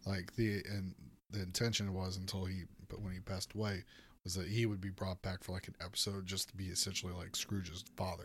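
On a very clean recording with a silent background, a man with a very deep, low pitch talks at a fairly quick pace, somewhat breathy, in a monotone, flat intonation. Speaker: returning podcast guest. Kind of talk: casual chat.

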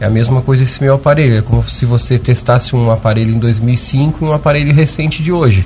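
A man talks at a very fast pace and medium pitch, his loudness very even. Noticeable background noise runs underneath. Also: ordinary pitch variation. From Lauro Müller, Santa Catarina, southern Brazil. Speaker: surgeon and endoscopist. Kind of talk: radio interview. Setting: radio studio.

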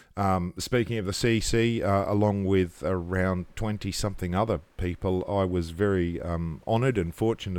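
A man's very deep, low voice at a moderate pace, with fairly even intonation, on a very clean recording with a silent background. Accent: Australian. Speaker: podcast co-host, solar industry veteran. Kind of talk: casual chat. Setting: hotel room.

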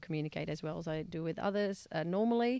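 A woman with a Dutch accent speaks at a fairly low pitch. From Netherlands. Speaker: mediator and conflict resolution trainer. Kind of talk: podcast interview. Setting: studio.

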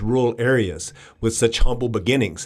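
A man speaks with an East Texas accent. The recording is very clean, with a silent background. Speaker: political campaign advisor. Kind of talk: interview.

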